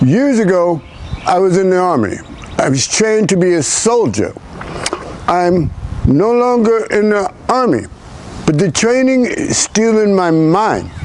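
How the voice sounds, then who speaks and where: Against noticeable background noise, a man with a high pitch speaks at a fairly slow pace with lively intonation, very even loudness, and long, frequent pauses. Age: 60s. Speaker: army veteran. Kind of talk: conversational interview. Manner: halting.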